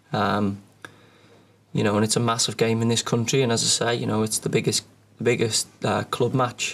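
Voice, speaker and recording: In a Liverpool accent, a man speaks at a moderate pace and medium pitch. His voice has vocal fry and fairly even intonation. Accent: Liverpool (Scouse). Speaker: professional footballer. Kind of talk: press conference answers.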